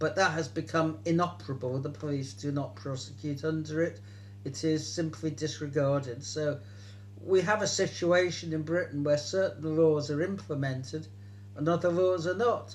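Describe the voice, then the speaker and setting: A man with a fairly high voice speaks at a moderate pace, his pitch swinging very widely, with a somewhat breathy quality. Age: 70s. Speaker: political activist. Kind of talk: interview answer.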